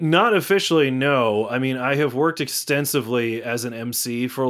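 It's a normal speaking voice with ordinary pitch variation. The recording is very clean, with a silent background. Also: man. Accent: American. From Massachusetts (Natick, Greater Boston). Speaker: actor. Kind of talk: interview.

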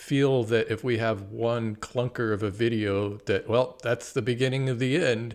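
A man with a plain, everyday voice talks at a medium pitch, with fairly even intonation and a fairly slow pace. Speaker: podcast co-host. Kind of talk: casual chat.

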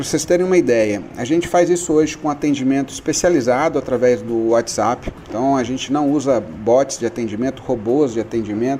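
Over noticeable background noise, a man talks at a fairly quick pace and medium pitch, with ordinary pitch variation and hardly any pauses. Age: 40s. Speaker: online retail business owner. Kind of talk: radio interview.

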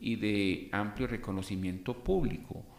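This is a man's voice. There is audible room echo. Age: 60s. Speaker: podcast host and civil engineer. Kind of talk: motivational monologue.

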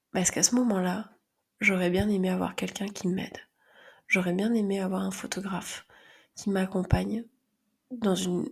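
Recorded very cleanly with a silent background, a woman talks at a moderate pace in a medium pitch. Her voice is somewhat breathy and her intonation fairly even. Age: 30s. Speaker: podcast host and phototherapist. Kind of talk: personal monologue.

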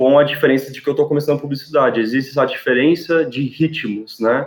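A man is speaking. His pace is moderate. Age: 20s. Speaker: university student. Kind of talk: casual podcast interview. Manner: halting, many repetitions.

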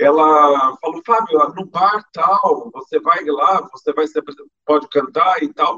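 The man's tone is bright and sharp. His intonation is lively. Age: 50s. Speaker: singer. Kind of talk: interview. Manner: halting, repeats words.

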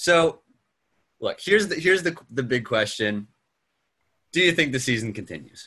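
With an American accent, a man with a fairly high, bright and sharp voice swings very widely in pitch and leaves long, frequent pauses. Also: moderate pace. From Pennsylvania, Philadelphia area. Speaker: sports podcast host. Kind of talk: casual chat.

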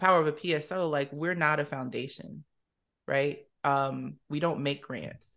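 A woman's very deep, low-pitched voice with vocal fry and an American accent, at a moderate pace with fairly even intonation. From South Jersey (Camden, New Jersey). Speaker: nonprofit executive director. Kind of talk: interview.

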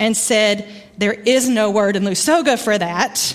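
With a Southern US accent, a woman speaks at a fairly high pitch. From Arkansas, US South. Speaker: guest preacher. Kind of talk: sermon. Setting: church.

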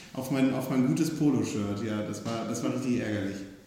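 A man with ordinary pitch variation, amid noticeable background noise and audible room echo. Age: 20s. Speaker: youth group leader. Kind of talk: casual chat.

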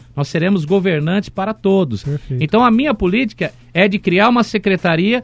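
At a fairly quick pace, a man with a high pitch talks with ordinary pitch variation in a dry, close sound with no echo. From Brazil, Atibaia (São Paulo state). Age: 40s. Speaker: mayoral candidate. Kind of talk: radio interview.

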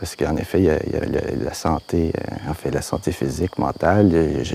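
Noticeable background noise under speech of moderate pace and lively intonation. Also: man. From Quebec, Laurentides. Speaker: filmmaker. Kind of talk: casual chat.

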